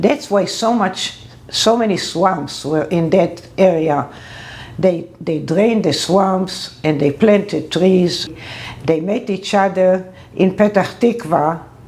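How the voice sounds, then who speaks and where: A woman at a medium pitch speaks very slowly over noticeable background noise. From Israel, Ra'anana. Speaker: interviewee. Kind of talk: interview testimony.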